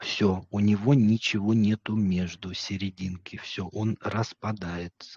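In a dry recording with no echo and a quiet background, a man with a fairly low voice speaks very slowly in a flat monotone, with hardly any pauses. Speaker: psychologist streamer reviewing videos. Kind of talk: live stream commentary. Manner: casual, joking. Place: home room. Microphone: studio mic.

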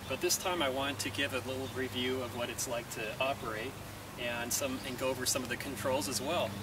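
Loud noise runs behind a man who speaks fairly quickly. His voice sounds dry, without any echo. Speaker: tractor owner reviewer. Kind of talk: casual review talk. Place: garden. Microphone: camera far.

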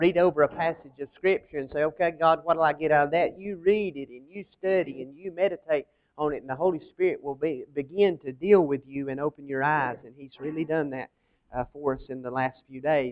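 A man talks at a fairly quick pace, his loudness swinging a lot while his pitch varies in an ordinary way. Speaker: pastor. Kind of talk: sermon. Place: church.

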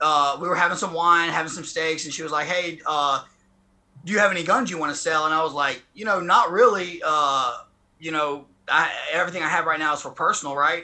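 A bright, sharp tone with a Southern US accent, ordinary pitch variation and a fairly quick pace. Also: man. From southern Mississippi, rural. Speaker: former federal prisoner. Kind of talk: interview. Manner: halting. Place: garden. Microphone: video call.

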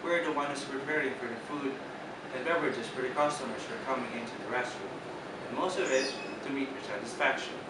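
A man talks at a fairly quick pace. Loud background noise and audible room echo fill the recording. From Philippines, Bicol (Naga City). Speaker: internship applicant, hospitality graduate. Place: office.

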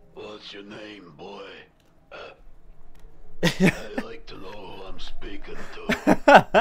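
In a put-on character voice with a menacing tone, a man speaks at an extremely high pitch and a very slow pace, with long, frequent pauses. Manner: menacing, interrogating.

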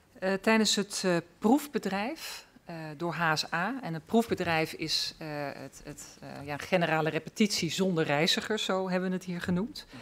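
Here is a woman with a plain, everyday voice speaking at a fairly slow pace. Her intonation is lively, and her loudness swings widely. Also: medium pitch for a woman. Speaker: member of parliament; witness. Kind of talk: formal hearing questioning. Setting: parliamentary hearing room. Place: hall. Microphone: podium.

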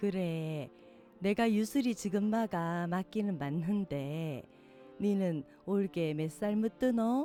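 With music playing in the background, someone in a Gyeongsang accent speaks at a very slow pace with lively intonation. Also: woman, medium pitch for a woman. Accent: Gyeongsang dialect in dialogue. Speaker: poetry reader. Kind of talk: poetry reading.

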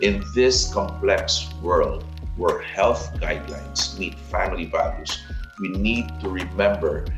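Clear music plays in the background. A man talks at a fairly slow pace over it. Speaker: commentator. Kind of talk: scripted opinion commentary. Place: home room.

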